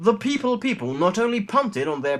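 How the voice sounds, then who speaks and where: A man with an English accent speaks at a fairly quick pace, his pitch swinging very widely. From England. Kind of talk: comic letter reading.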